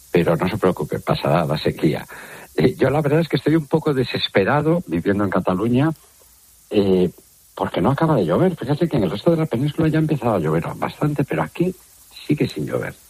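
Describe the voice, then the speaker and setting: Very wide pitch swings and vocal fry run through a very fast delivery. The sound is dry and close, with no echo. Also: man, medium pitch for a man. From Galicia, Spain. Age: 60s. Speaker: water researcher. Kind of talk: interview.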